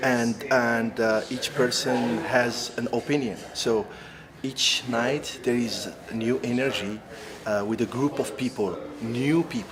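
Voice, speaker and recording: Over noticeable background noise, a man with an Algerian accent talks at a medium pitch and a fairly slow pace, his intonation fairly even. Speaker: actor. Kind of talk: interview. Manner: halting, many fillers and restarts.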